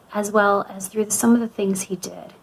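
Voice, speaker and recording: A woman talks at a medium pitch and a moderate pace, in an American accent. She has a plain, everyday voice. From US (Florida) and Canada, moved often. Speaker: youth ministry speaker. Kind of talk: youth talk / devotional. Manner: warm, conversational.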